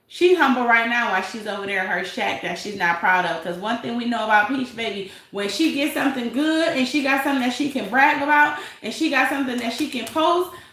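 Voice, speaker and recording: A woman with an American accent at a moderate pace, with very wide pitch swings and audible room echo. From Detroit, US. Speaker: YouTube commentary livestreamer. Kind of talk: casual live-stream commentary.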